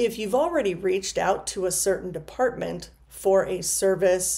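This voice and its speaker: A woman speaks in a medium pitch with a dark, mellow tone. Her pace is fairly slow. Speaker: counselor. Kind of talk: informational video talk to camera. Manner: some stumbling and filler words.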